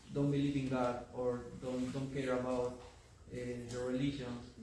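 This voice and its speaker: A man's medium-pitched, monotone voice with flat intonation in a Peruvian accent, amid audible room echo and noticeable background noise. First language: Spanish. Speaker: audience member. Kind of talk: audience question. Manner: halting.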